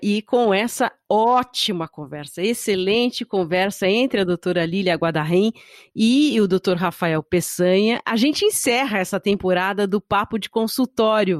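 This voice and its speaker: On a very clean recording with a silent background and a dry, close sound with no echo, a woman with an unremarkable speaking voice talks at a fairly slow pace and medium pitch, with ordinary pitch variation and hardly any pauses. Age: 50s. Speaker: podcast host. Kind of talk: podcast interview.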